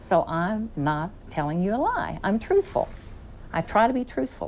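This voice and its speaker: With noticeable background noise, a woman in a Southern US accent speaks at a medium pitch with very wide pitch swings. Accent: Southern drawl. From US Midwest, southeast Missouri. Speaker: executive secretary at a TV station. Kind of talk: casual interview chat, anecdote. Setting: TV studio.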